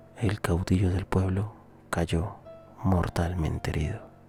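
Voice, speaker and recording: Music plays in the background. The pace is fairly slow. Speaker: ASMR channel host reading a history story. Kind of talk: soft-spoken ASMR history narration. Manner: soft-spoken, whispered.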